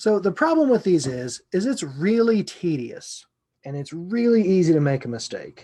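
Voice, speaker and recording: Mumbling at a fairly slow pace, a man speaks in a dark, mellow tone with very wide pitch swings. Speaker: computer science lecturer. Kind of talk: lecture. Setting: recorded video lesson. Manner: mumbling to himself; casual, conversational.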